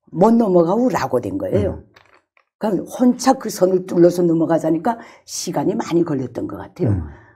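A woman's voice swings very widely in pitch at a fairly quick pace, with vocal fry in a dark, mellow tone. The background is quiet. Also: fairly low pitch for a woman. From North Korea. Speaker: former North Korean journalist, defector. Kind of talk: casual chat. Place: studio. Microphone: lapel.

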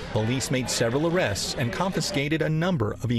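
Over noticeable background noise, a man with a fairly high voice talks at a fairly quick pace, his pitch swinging very widely. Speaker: news correspondent. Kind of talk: news reading, polished broadcast report voiceover. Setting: recorded TV news package. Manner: formal, measured, steady delivery.

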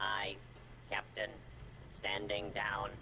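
Over loud background noise, a man puts on a character voice at a fairly low pitch. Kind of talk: game character dialogue. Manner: weak, half-hearted accent.

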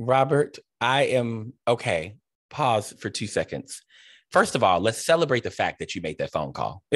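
Against a quiet background, a man with an American accent speaks in an animated tone with lively intonation and vocal fry, the sound dry with no echo. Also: moderate pace. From Cleveland, Ohio; Ohio. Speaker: interview host and theater director; host interviewer. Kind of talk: interview. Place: home room. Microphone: video call.

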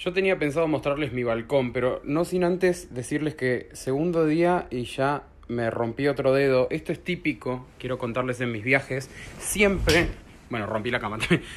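Speaking in a Rioplatense accent, a man uses lively intonation at a fairly slow pace. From Argentina. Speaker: voice-over announcer. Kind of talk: casual travel vlog talk to camera. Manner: chatty, upbeat.

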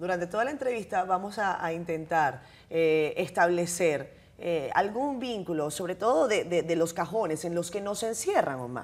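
With lively intonation, a woman speaks. Her pace is moderate. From Dominican Republic. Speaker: TV host. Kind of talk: interview. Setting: studio. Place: studio. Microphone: lapel.

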